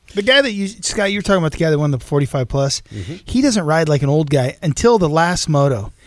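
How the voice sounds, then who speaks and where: A man speaks very fast with hardly any pauses, his fairly high pitch moving in lively intonation. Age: 40s. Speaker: co-host. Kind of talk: casual radio chat.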